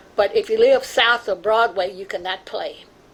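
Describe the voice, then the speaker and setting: A woman's voice, moving at a moderate pace with ordinary pitch variation, comes through noticeable background noise. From Louisville, Kentucky. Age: 90s. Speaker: community elder and artist. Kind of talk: oral history testimony. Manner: halting.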